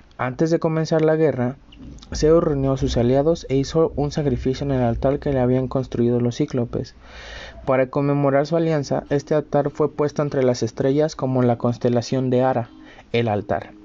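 Over noticeable background noise, a man talks at a medium pitch with very even loudness and fairly even intonation. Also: moderate pace. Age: 20s. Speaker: student podcaster. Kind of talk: storytelling narration. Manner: halting.

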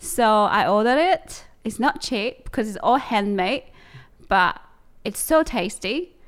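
In a very clean recording with a silent background, a woman with a fairly high pitch speaks fairly slowly, her pitch swinging very widely. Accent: Chinese. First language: Chinese. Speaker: podcast co-host. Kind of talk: casual chat.

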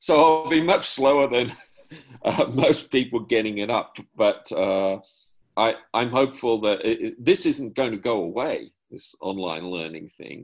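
A man with an Australian accent talks at a fairly slow pace. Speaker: improviser. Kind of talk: panel discussion. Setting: video call.

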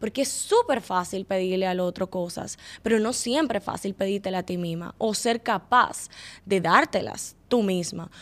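With an unremarkable speaking voice, a woman talks at a moderate pace, her medium pitch varying in an ordinary way. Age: 20s. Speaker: content creator and communicator. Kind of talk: casual chat.

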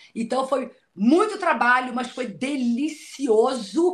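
Lively intonation from a woman with a high pitch. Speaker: TV presenter and journalist. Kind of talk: casual chat.

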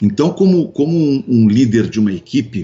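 Lively in intonation, a man talks at a fairly slow pace. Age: 50s. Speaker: radio host and businessman. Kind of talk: casual interview chat. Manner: halting, many repetitions.

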